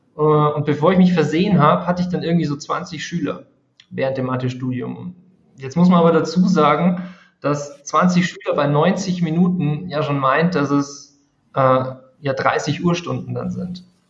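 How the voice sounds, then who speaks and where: A man's somewhat breathy, fairly high voice carries ordinary pitch variation and audible room echo. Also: moderate pace. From Bavaria, Regensburg. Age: 30s. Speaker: math tutor and education creator. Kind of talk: interview.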